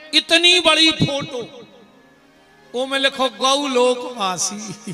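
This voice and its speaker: A man with a Bundelkhand accent speaks in a raised, projected voice at an extremely high pitch. Music plays in the background. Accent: Bundeli. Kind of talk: religious discourse to a live audience. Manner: humorous, lively.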